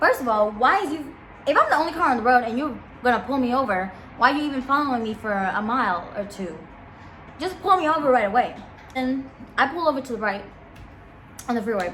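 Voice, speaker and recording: Amid noticeable background noise and audible room echo, a woman with a high pitch and lively intonation speaks at a very fast pace broken by long, frequent pauses. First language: not English. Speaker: vlogger. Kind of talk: casual storytime. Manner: animated.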